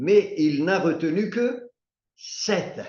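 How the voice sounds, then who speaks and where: This man has a high pitch. His voice makes very wide pitch swings. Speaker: bible study teacher. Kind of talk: bible study teaching.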